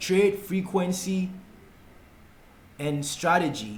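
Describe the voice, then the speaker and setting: This man speaks in a Ghanaian accent at a high pitch for a man, with ordinary pitch variation. Audible room echo can be heard. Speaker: forex trading tutor. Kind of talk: tutorial.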